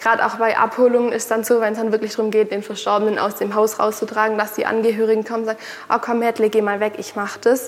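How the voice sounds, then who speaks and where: Over noticeable background noise, a woman with a fairly high voice speaks very fast in a monotone, flat way. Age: 20s. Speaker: funeral director. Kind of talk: explanatory interview. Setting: on location at a funeral home.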